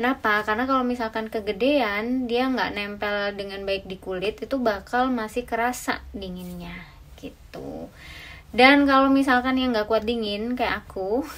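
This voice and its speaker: A woman speaking at a moderate pace with fairly even intonation. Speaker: travel vlogger. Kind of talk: tutorial. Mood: cheerful, friendly. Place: home room. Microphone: camera far.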